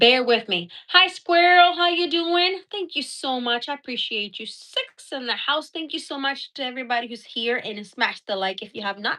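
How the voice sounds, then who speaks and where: Over a quiet background, a woman with a high pitch speaks in a raised, projected voice, her bright, sharp, animated tone moving through very wide pitch swings and big shifts in loudness at a moderate pace with hardly any pauses. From Puerto Rico and US Northeast. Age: 40s. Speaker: YouTuber, homesteader. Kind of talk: casual live stream chat. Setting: home office.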